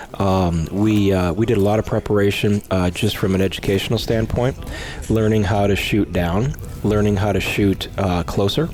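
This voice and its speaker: Man at a moderate pace, fairly low pitch and fairly even intonation, with music in the background. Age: 50s. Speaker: hunter. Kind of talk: coaching in the field; casual interview. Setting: in a shop by a stove.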